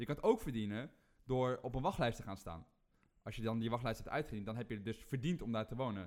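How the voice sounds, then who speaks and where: This man talks at a very fast pace. His pitch varies an ordinary amount. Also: medium pitch for a man. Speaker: rant-giving guest. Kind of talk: angry rant, mocking parody. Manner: fired up, sarcastic, loud; ranting, macho swagger.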